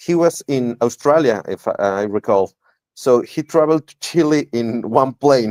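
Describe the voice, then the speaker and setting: A man with a Mexican accent speaks at a fairly high pitch with lively intonation, in a dry, close sound with no echo. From Mexico. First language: Spanish. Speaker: interviewer and interpreter. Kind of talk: interview. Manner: halting.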